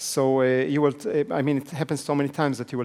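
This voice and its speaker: Talking at a very fast pace, a man with a non-native accent speaks at a medium pitch. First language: not English. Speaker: business trainer. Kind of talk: seminar lecture.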